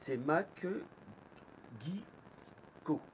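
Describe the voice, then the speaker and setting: Noticeable background noise fills the recording. Over it, the man's intonation is lively. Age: 60s. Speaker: magnet fishing youtuber. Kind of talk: angry vlog rant. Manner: animated; halting.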